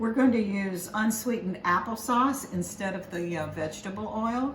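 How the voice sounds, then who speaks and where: Pitched fairly high, a woman's voice carries audible room echo along with noticeable background noise. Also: ordinary pitch variation, moderate pace. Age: 70s. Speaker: home cooking video host. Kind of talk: cooking tutorial. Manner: casual, chatty.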